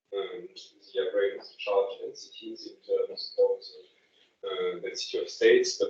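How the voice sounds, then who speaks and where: Speaking at a moderate pace, a man with an extremely high pitch keeps his intonation fairly even amid big swings in loudness. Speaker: lecturer. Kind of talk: lecture. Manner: halting, many fillers and repetitions.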